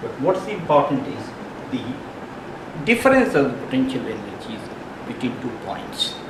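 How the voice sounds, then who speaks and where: A man with very wide pitch swings, amid noticeable background noise and audible room echo. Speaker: physics teacher. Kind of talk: lecture. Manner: slow.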